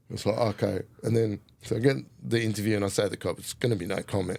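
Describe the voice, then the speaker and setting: Here a man speaks with an Australian accent. His fairly low voice has a dark, mellow tone. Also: very clean recording, silent background. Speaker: hip hop artist and mountain biker. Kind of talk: casual storytelling interview. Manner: animated.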